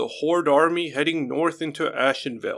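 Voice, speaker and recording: Using a put-on character voice, a man speaks with a high pitch. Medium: read story. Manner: polite, welcoming.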